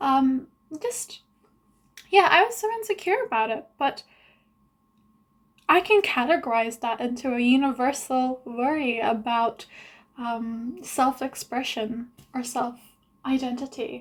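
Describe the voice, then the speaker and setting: A woman mumbles at a high pitch and a fairly slow pace, her intonation lively and her pauses long and frequent. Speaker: vlogger. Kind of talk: video diary monologue. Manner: mumbling; long pauses.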